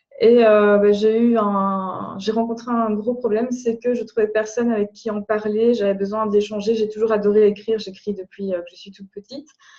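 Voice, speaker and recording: Her dark, mellow tone and fairly high pitch come with monotone, flat intonation and big swings in loudness from this woman. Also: moderate pace, hardly any pauses. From Belgium. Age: 30s. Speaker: blogger. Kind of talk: interview. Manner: halting.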